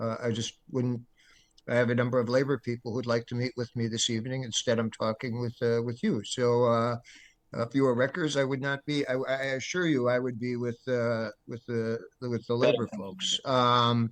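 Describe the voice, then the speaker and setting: At a moderate pace, a man speaks in a monotone, flat intonation with a medium pitch. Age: 60s. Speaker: political organization leader. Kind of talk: tense organizational meeting. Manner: halting, many fillers.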